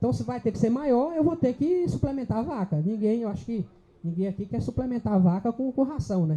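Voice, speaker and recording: A man speaks at a fairly quick pace, his pitch high and swinging very widely. His tone is dark and mellow. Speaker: livestock specialist speaker. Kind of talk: lecture. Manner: fast.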